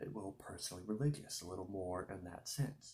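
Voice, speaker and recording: A soft-spoken man with a dark, mellow, somewhat breathy tone and lively intonation. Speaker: ASMR creator. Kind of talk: casual talk to camera.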